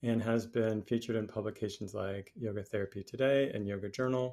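This man talks at a moderate pace and a medium pitch. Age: 50s. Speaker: podcast host, yoga teacher. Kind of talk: reading a bio aloud; casual interview chat.

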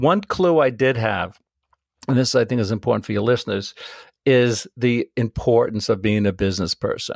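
A man speaks at a moderate pace in a medium pitch with ordinary pitch variation, the sound dry and close with no echo. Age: 60s. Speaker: travel photographer. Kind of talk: interview. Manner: enthusiastic.

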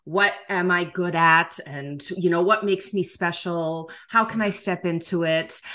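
With a bright, sharp tone, a woman at a fairly low pitch speaks at a fairly slow pace with fairly even intonation and hardly any pauses. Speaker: intuitive healer and life coach. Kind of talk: casual interview. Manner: chatty.

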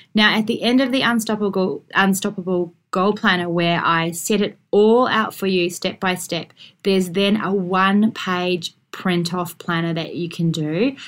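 A woman with an Australian accent speaks fairly slowly at a medium pitch with fairly even intonation, recorded very cleanly against a silent background. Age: 40s. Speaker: podcast host and lawyer. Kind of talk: solo podcast monologue.

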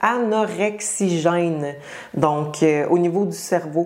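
In a Quebec accent, a woman speaks at a fairly low pitch with ordinary pitch variation over noticeable background noise. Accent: Québécois French. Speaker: fitness coach and podcast host. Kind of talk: solo podcast monologue. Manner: casual, many filler hesitations.

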